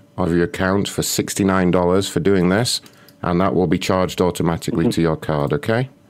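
A man speaks with a British accent. His pitch is very deep and low. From England. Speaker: prank call show host. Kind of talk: prank phone calls; casual show chat.

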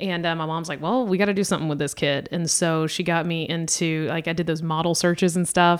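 A woman with an American accent talks at a fairly quick pace with hardly any pauses. She has an unremarkable speaking voice, a fairly low pitch and fairly even intonation. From US South, Georgia. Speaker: comedian. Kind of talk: casual chat.

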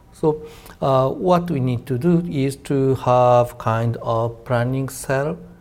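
With a Japanese accent, a man talks at a very slow pace and a medium pitch, using ordinary pitch variation. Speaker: defense policy researcher. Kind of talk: panel discussion.

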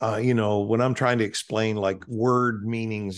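Over a quiet background, a man with a plain, everyday voice talks at a moderate pace in a fairly low pitch. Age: 60s. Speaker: preacher. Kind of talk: interview.

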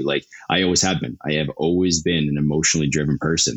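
A man with a western Canadian accent talks at a very fast pace in a very deep, low voice, his intonation fairly even over noticeable background noise. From Canada, Calgary, Alberta. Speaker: startup executive. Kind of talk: interview. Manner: talkative.

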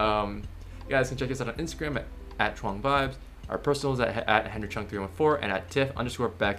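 Music plays in the background while a man talks at a fairly quick pace. His intonation is lively. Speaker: podcast co-host. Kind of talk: casual chat. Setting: video call.

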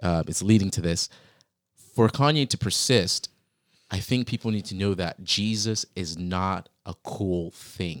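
This voice carries an American accent. It moves along at a fairly slow pace. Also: man, very deep, low pitch for a man, ordinary pitch variation, dry, close sound with no echo, very clean recording, silent background. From Virginia, US. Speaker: podcast host. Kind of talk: casual interview conversation. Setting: in-person room across a desk.

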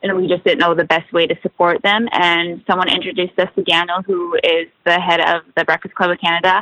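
American-accented woman with a fairly low pitch and fairly even intonation. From Washington State, US. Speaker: hockey wife and lifestyle blogger. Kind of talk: casual interview chat. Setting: remote call from a quiet corner of a store.

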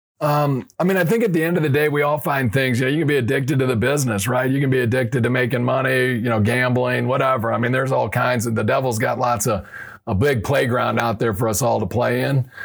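A man talking at a very fast pace with very even loudness over noticeable background noise. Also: medium pitch for a man, ordinary pitch variation, hardly any pauses. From US Midwest, St. Louis. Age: 50s. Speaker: recovering addict sharing faith testimony. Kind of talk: testimony.

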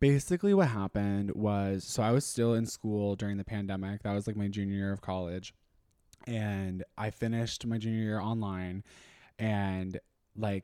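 A man with an American accent speaks at a moderate pace in a fairly low voice with a dark, mellow tone. His intonation is fairly even, and the sound is dry and close with no echo. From Texas, Austin. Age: 20s. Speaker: influencer. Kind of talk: casual chat.

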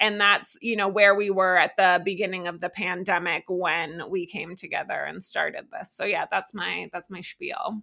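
Bright, sharp tone in an American accent, delivered at a moderate pace with hardly any pauses. The intonation stays monotone and flat, and the recording is very clean with a silent background. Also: woman, medium pitch for a woman. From Massachusetts, US. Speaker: winery co-founder. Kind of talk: casual interview. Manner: casual, filler-heavy.

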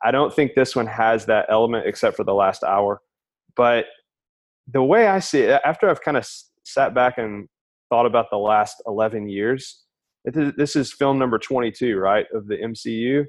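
In a quiet background, a man with an American accent speaks at medium pitch with ordinary pitch variation in a plain, everyday voice. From Alabama, US South. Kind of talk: casual chat.

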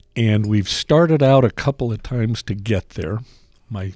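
An ordinary speaking voice from a man with an American accent, fairly low in pitch, recorded dry and close with no echo. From Salt Lake City, Utah. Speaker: deli owner. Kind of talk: casual chat.

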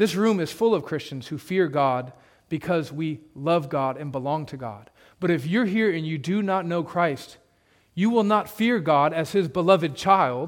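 This man has an unremarkable speaking voice. His pitch is fairly high and his pace is moderate. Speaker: preacher. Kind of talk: sermon to a congregation, expository preaching ending in a solemn closing prayer. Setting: church. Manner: earnest, building to a rhetorical, pleading intensity; conversational, plain-spoken, with a touch of humor.

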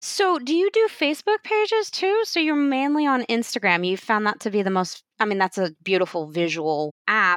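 Against a quiet background, a woman speaks at a moderate pace with a fairly high pitch. Her pitch swings very widely, and the sound is dry and close with no echo. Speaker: podcast host. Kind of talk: casual interview. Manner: animated.

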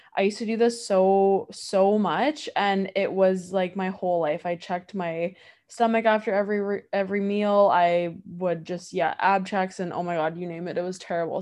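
Against a quiet background, a woman with a medium pitch talks at a moderate pace and fairly even intonation. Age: 20s. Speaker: wellness podcast host. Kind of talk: casual solo podcast talk. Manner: warm, chatty with many fillers.

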